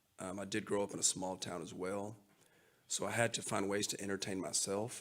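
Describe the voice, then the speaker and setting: Fairly quick speech from a man in a Texan accent, with monotone, flat intonation. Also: fairly low pitch for a man. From West Texas. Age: 40s. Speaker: artist and teacher. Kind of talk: casual interview.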